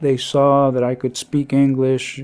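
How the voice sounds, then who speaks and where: This man has an American accent and a medium pitch. His tone is dark and mellow, and he speaks at a fairly slow pace. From East Los Angeles, California. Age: 70s. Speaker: deported military veteran. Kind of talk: personal testimony.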